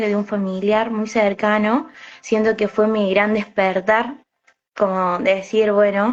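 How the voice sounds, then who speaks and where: This woman's voice sits at a fairly high pitch. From Argentina, Córdoba city. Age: 20s. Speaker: alternative therapist and psychic medium. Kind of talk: interview. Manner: hesitant, many fillers.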